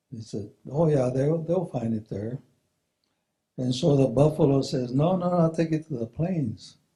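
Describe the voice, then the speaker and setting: Somewhat breathy delivery at a moderate pace, with ordinary pitch variation. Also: man, fairly high pitch for a man. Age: 70s. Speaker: retired engineer and spiritual presenter. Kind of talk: presentation with storytelling. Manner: halting, repeating words.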